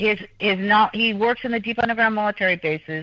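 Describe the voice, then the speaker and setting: A woman's unremarkable speaking voice at medium pitch, with fairly even intonation. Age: 60s. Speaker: guest. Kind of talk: talk show interview. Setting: studio. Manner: fast.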